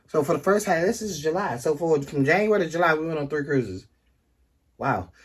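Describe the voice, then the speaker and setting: A man with a DC accent speaks at a fairly quick pace. His fairly high voice has lively intonation. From Washington DC area. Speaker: couple vlogger, travel channel co-host. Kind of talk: casual chat.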